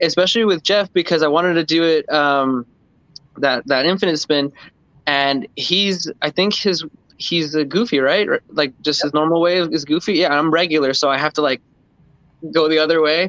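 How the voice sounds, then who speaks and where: Recorded with a dry sound and no echo, a man talks at a moderate pace. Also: ordinary pitch variation. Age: 30s. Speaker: freeskating community member. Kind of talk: casual chat. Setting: live stream. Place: home room. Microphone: video call.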